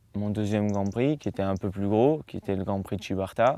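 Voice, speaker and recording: At a moderate pace, a man speaks with fairly low pitch and ordinary variation. The recording is very clean, the background silent. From Marseille, France (born in the United States). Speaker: professional golfer. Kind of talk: interview answer. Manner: casual, hesitant.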